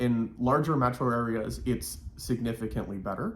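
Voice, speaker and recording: Amid audible room echo, a somewhat breathy man with an American accent speaks in a medium pitch with ordinary pitch variation. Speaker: vlogger. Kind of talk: casual chat.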